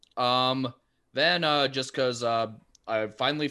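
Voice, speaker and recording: A man's voice at a medium pitch with ordinary pitch variation. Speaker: podcast co-host. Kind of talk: casual chat about movies.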